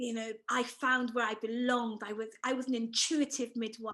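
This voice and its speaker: A woman speaks with an English accent at a fairly high pitch. Her intonation is monotone and flat. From England, Bristol. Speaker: author and former midwife. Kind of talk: interview.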